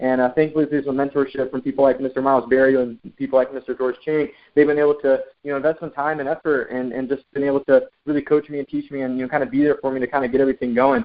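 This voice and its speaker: The man talks at a very fast pace. His pitch is fairly high. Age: 20s. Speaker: network marketing distributor. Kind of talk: motivational sales pitch. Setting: phone conference call. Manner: animated.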